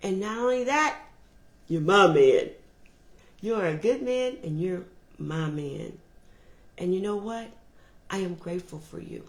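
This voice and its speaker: Speaking loudly at a medium pitch, a woman uses lively intonation and a fairly slow pace. Her long, frequent pauses carry audible room echo. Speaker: motivational speaker on relationships. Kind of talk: motivational talk.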